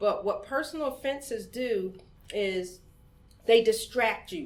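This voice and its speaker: This woman has a plain, everyday voice with an American accent. She talks at a moderate pace with lively intonation. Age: 50s. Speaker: community organizer, founder of women's voting group. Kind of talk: podcast interview.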